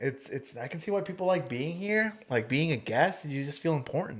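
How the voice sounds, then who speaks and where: A man speaks loudly at a high pitch. His intonation is lively. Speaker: podcast guest and podcaster. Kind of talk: casual chat. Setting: podcast studio.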